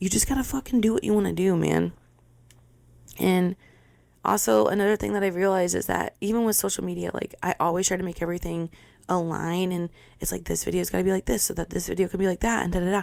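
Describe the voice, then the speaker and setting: On a very clean recording with a silent background, a woman talks at a very fast pace. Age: 20s. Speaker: podcast host. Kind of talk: casual monologue. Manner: occasional stutter, tripping over words; animated.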